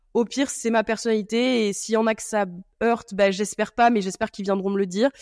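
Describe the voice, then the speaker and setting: A woman with a fairly high pitch, very fast and monotone in delivery, with a dry, close sound and no echo. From southern France, then Niort area. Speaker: entrepreneur in wine, podcast guest. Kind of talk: casual chat.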